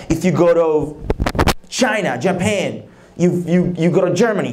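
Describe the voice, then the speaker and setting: Over noticeable background noise and audible room echo, a man with a high pitch talks at a fairly slow pace, with ordinary pitch variation and very even loudness. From Dominican Republic. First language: Spanish. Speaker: leadership conference speaker. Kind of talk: leadership talk. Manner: repetitive, emphatic.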